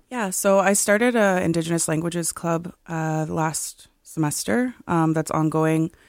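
With a Canadian accent and a normal speaking voice, a woman talks at a fairly slow pace with hardly any pauses, a fairly low pitch and ordinary pitch variation, on a very clean recording with a silent background. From Six Nations of the Grand River, Ontario. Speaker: university student. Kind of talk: radio interview.

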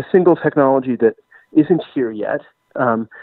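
A plain, everyday voice speaks at a moderate pace with ordinary pitch variation. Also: man. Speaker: writer and historian. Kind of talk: interview.

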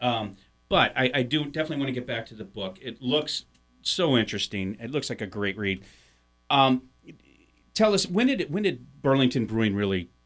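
A man with an American accent talks at a very fast pace and a medium pitch, his intonation lively and his loudness swinging widely. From US Midwest, St. Louis, Missouri. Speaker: podcast co-host, publisher. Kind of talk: casual chat. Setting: radio studio.

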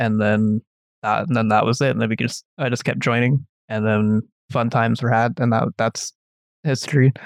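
A normal speaking voice with a Canadian accent, talking at a moderate pace with ordinary pitch variation in a dry, close sound with no echo. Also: man. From Canada. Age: 20s. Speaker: computer engineering student. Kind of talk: casual chat.

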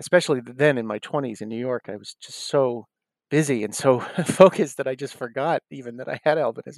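With a dry, close sound and no echo, a man with an unremarkable speaking voice talks at a medium pitch and a moderate pace. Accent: American. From US Northeast, South Shore of Massachusetts. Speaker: actor and comedian. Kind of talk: interview.

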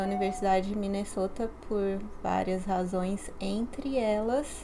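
The speech moves at a very slow pace, with audible echo from the room. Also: woman. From Brazil, São Paulo. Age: 30s. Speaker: graduate student. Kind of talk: interview.

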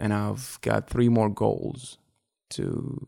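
The speaker has an Arabic accent. The recording is very clean, with a silent background. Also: man. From Iraq, Baghdad. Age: 30s. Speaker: podcast guest. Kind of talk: casual chat. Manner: halting.

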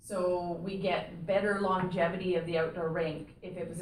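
At a fairly slow pace, a normal speaking voice talks with ordinary pitch variation. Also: woman. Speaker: town administrator. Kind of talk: formal meeting.

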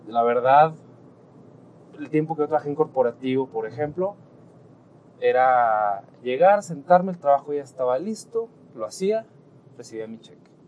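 Fairly high in pitch, a man speaks at a moderate pace with lively intonation, big swings in loudness, and long, frequent pauses. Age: 20s. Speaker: entrepreneur. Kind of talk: casual monologue. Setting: in a car.

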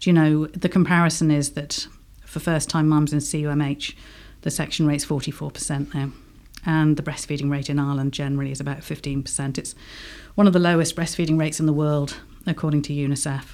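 A woman's very deep, low voice in an English accent, fairly quick and monotone, flat in intonation, in a very clean recording with a silent background. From England. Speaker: home birth midwife. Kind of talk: radio interview. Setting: studio.

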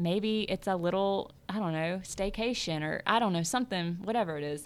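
A woman with a Southern US accent talks at a moderate pace with ordinary pitch variation. The recording is very clean, with a silent background. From US South, South Louisiana. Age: 30s. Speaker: real estate agent. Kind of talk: interview. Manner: casual, laughs often.

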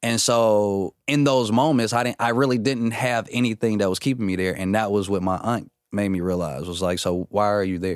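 On a very clean recording with a silent background, a man with an ordinary speaking voice talks at a moderate pace with hardly any pauses, using a fairly low pitch and ordinary pitch variation. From Atlanta, US South; moved to Minnesota at 14. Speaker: comedian and actor. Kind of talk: casual interview chat.

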